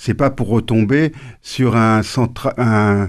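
A man talks at a very slow pace. His pitch is medium, with ordinary variation. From Normandy, France, family from Tunisia and Corsica. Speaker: former humanitarian worker and author. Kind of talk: radio interview.

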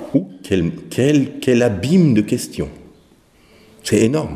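A man talks fairly slowly against noticeable background noise. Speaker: professional singer and vocal teacher. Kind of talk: interview. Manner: halting.

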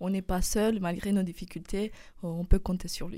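A woman with a Romanian accent speaks at a fairly slow pace in a dark, mellow tone, on a very clean recording with a silent background. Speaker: university student. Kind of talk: radio interview. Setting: studio. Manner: halting.

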